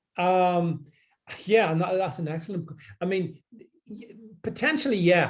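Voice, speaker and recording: A man speaks at a fairly slow pace with long, frequent pauses. His loudness swings widely while his pitch variation stays ordinary. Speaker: political commentator. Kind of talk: panel discussion. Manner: halting, many repeated words.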